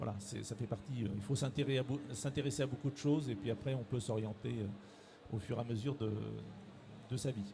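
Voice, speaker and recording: A man speaks at a medium pitch with a dark, mellow tone and a somewhat breathy quality. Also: ordinary pitch variation. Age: 60s. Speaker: director of a training organisation. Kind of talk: interview. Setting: careers fair. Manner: halting, many hesitations.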